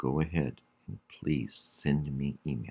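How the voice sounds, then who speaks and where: A man speaks in a very deep, low pitch with vocal fry. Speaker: college English instructor. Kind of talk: online class announcement. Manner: slow; hesitant, many fillers.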